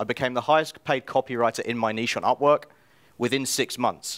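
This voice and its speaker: Fairly quick speech in a British accent, with ordinary pitch variation, in a very clean recording with a silent background. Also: man, dry, close sound with no echo. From England, London. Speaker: self-publisher and copywriter. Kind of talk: conference talk. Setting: stage with audience.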